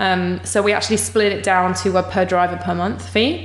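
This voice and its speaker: With noticeable background noise, a woman speaks in an English accent. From England. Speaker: startup co-founder. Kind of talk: interview.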